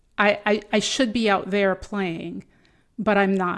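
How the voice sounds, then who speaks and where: A woman with a French accent speaks very slowly at a medium pitch with fairly even intonation, in a very clean recording with a silent background. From North Africa and Europe. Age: 50s. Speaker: executive coach. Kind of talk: interview.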